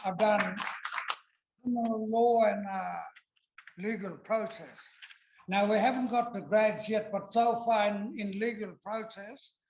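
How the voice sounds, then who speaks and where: With audible room echo, a man speaks in a high pitch at a fairly slow pace, his intonation monotone and flat, with long, frequent pauses. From Kimberley, Western Australia. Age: 60s. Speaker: law student, audience member. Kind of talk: audience remarks at debate. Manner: casual, a bit halting.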